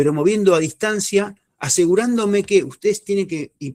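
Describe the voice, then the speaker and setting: This is a man speaking. He talks at a fairly quick pace. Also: dry, close sound with no echo. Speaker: neurodynamics instructor. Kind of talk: lecture. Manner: fast.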